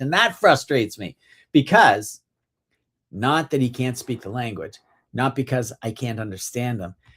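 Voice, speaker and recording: The voice is somewhat breathy, with a Canadian accent, on a very clean recording with a silent background. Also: man. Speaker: car sales trainer. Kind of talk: live-streamed sales training talk. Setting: live stream. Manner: fast.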